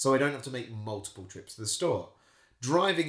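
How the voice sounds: Lively intonation marks a natural reading voice.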